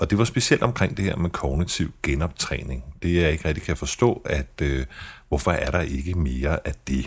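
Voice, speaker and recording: Vocal fry with ordinary pitch variation. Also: man. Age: 40s. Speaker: podcast host, journalist with multiple sclerosis. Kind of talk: personal podcast narration and interview. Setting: fast food restaurant in a shopping centre.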